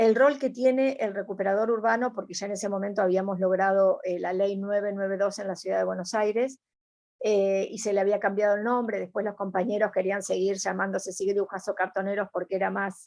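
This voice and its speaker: A woman with an Argentine accent talks at a fairly quick pace and a medium pitch, keeping her intonation fairly even. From Argentina. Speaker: environmentalist. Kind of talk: interview answer.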